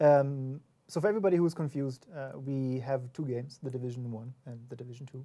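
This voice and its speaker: A very fast pace with a non-native accent. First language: not English. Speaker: game developer community representative. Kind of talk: livestream discussion.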